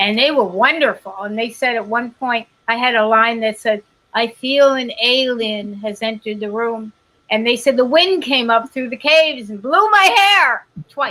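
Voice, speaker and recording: A woman with an unremarkable speaking voice and a fairly high pitch speaks at a moderate pace with ordinary pitch variation. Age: 50s. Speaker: actress. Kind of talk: casual chat.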